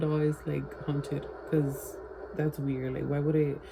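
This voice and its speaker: Her voice is very deep and low for a woman, with monotone, flat intonation at a moderate pace. Noticeable background noise is present. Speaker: vlogger. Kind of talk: casual vlog chat.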